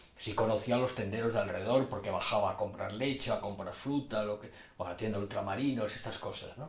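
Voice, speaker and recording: A man in a Madrid accent talks at a very fast pace with a medium pitch and ordinary pitch variation. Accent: Castilian Spanish (Madrid). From Madrid, Spain. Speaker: poet. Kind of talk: interview. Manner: halting.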